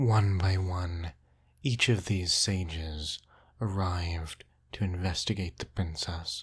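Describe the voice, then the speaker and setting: Very slowly and soft-spoken, a man talks at a very deep, low pitch, somewhat breathy and soothing in tone. The recording is very clean, with a silent background. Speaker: storyteller. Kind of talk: bedtime story narration. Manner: soft-spoken, soothing.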